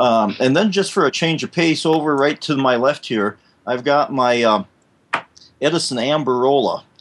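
With a Midwestern US accent, a man speaks at a moderate pace. His pitch is fairly high, with ordinary variation. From US Midwest. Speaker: fill-in co-host. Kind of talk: casual chat.

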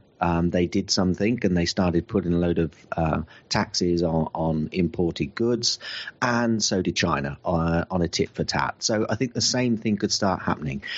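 A man with a British accent, very deep and low in pitch, at a moderate pace with ordinary pitch variation and very even loudness. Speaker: podcast panelist. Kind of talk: casual panel discussion.

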